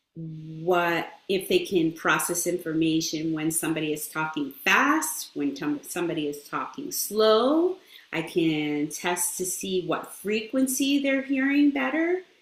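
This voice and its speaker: Barely pausing, a woman with a fairly low pitch speaks in very wide pitch swings over noticeable background noise. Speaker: speech-language pathologist. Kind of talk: interview. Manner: halting, with fillers.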